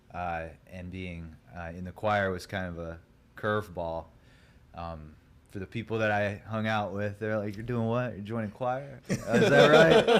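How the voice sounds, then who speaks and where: Lively intonation marks this man's fairly low voice, which swings widely in loudness. Noticeable background noise runs behind him. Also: moderate pace. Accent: American. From US Midwest, Ohio (Grandview, Hilliard). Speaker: musician, singer. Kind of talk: casual chat.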